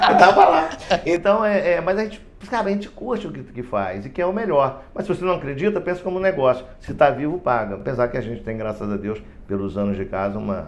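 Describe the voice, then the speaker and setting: With noticeable background noise behind him, a man speaks at a fairly quick pace with a fairly high pitch and very wide pitch swings. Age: 60s. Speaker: union president, retired heart surgeon. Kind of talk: podcast interview. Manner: animated, halting with repetitions.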